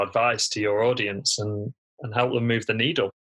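Speaking in a bright, sharp tone, a man talks with a British accent. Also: very clean recording, silent background. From United Kingdom. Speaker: physiotherapist and online entrepreneur. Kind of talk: podcast interview.

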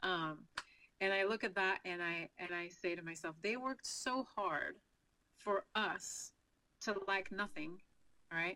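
A woman's bright, sharp voice at a medium pitch, in a French Canadian accent, fairly slow with long, frequent pauses and ordinary pitch variation. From Quebec, Canada. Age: 40s. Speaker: financial advisor. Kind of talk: interview.

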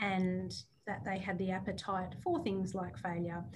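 A woman's somewhat breathy, medium-pitched voice at a moderate pace, with audible room echo. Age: 30s. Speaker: recruitment company CEO. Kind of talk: casual chat.

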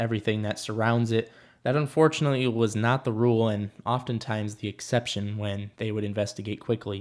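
At a fairly quick pace, a man with medium pitch and fairly even intonation talks in an ordinary speaking voice. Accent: American. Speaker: true crime podcast host. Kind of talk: true-crime narration. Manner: measured, serious storytelling pace; earnest, conversational.

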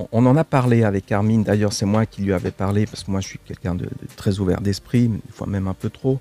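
A man talks at a very fast pace with fairly even intonation and a dark, mellow tone. The sound is dry and close with no echo. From Switzerland, Italian family. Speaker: actor. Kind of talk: casual interview chat. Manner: halting, repeats words.

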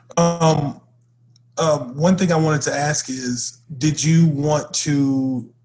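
Somewhat breathy, the voice moves along at a very slow pace. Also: man, fairly high pitch for a man. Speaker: podcast co-host. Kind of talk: casual conversation. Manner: animated.

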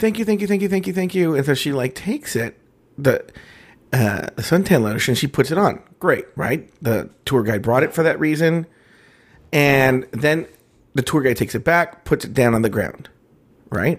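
A man with a fairly high pitch talks at a moderate pace, his pitch swinging very widely. The recording is very clean, with a silent background. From Mexican-American. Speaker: podcast co-host. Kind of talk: casual chat. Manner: smacks lips often.

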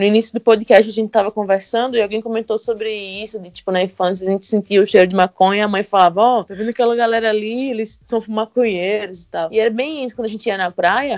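Racing at a very fast pace with hardly any pauses, a woman speaks in a fairly high pitch with fairly even intonation and big swings in loudness. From Recife, Brazil. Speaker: cannabis activist. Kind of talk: casual chat.

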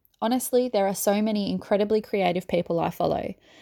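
With a dark, mellow tone and medium pitch, a woman talks at a fairly quick pace, her sound dry and close with no echo on a very clean recording with a silent background. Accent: Australian. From Melbourne, Australia. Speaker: small business owner, earring maker. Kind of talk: reading aloud an interview Q&A.

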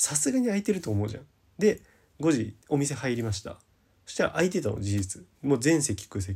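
Fairly high in pitch yet dark and mellow in tone, this man's voice is somewhat breathy and swings very widely in pitch at a fairly quick pace. The recording is very clean, with a silent background. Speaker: podcast host. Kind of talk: solo casual talk. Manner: rambling long-form talk.

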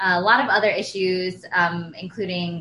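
A woman with an American accent speaks in a normal speaking voice at a fairly slow pace. Her pitch is fairly low and her intonation fairly even. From Pennsylvania, US. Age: 20s. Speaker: environmental nonprofit coordinator. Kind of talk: interview.

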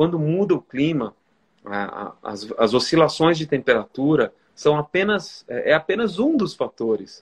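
A man's fairly high, fairly slow voice with very wide pitch swings and a dry, close sound with no echo. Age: 40s. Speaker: photographer and author. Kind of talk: interview. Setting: Instagram live video. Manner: halting, many repetitions.

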